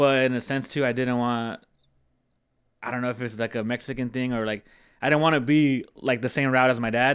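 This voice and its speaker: A man with an American accent speaks fairly quickly at a medium pitch, in a monotone, flat intonation. The recording is very clean, with a silent background. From California Central Coast. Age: 30s. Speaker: auto wrap business owner. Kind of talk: casual chat.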